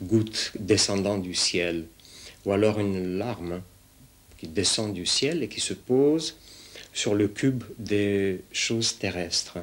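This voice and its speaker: Speaking very slowly, a man with a Russian accent uses a fairly low pitch. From Romania. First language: Russian (speaking French). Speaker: sculptor and painter. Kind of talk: interview monologue about his art. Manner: hesitant, many fillers.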